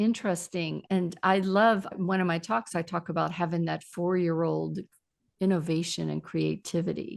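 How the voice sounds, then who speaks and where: A woman has a normal speaking voice at a fairly low pitch, with fairly even intonation. She talks at a moderate pace against a quiet background. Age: 60s. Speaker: public speaking trainer and podcaster. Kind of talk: casual interview chat.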